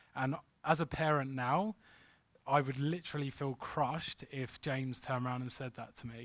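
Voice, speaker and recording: A man speaks in a London accent at a moderate pace. The recording is very clean, with a silent background. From London, England. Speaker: crypto investment consultant. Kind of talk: workshop presentation. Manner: animated.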